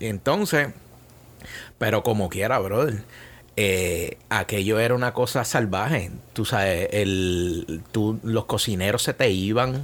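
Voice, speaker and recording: A man with a Puerto Rican accent, fairly low pitch, ordinary pitch variation, very even loudness and a very slow pace, on a very clean recording with a silent background. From Puerto Rico, Bayamón. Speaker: chef and food business owner. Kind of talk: casual interview. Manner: halting, many repetitions.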